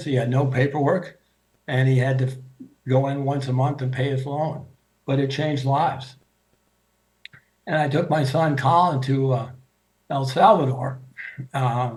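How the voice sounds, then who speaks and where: With an American accent, a man speaks at a moderate pace in a fairly high, somewhat breathy voice, with fairly even intonation, long, frequent pauses and audible room echo. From US Midwest, Grosse Pointe, Michigan. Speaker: speaker sharing faith journey. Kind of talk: personal testimony talk. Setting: video call. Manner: halting, many fillers.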